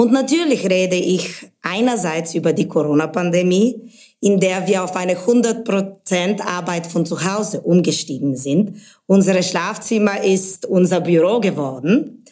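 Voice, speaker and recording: A woman with a Bulgarian accent, medium pitch and a dark, mellow tone, at a fairly slow pace with ordinary pitch variation. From Bulgaria, Sofia. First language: Bulgarian (speaking German). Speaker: brand manager. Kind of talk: interview podcast.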